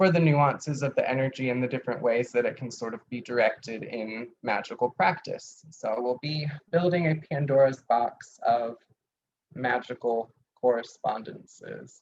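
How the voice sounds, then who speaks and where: A man in a plain, everyday voice keeps to a moderate pace, his medium pitch moving with ordinary pitch variation. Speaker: teacher of occult herbalism. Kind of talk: lecture. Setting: video call class.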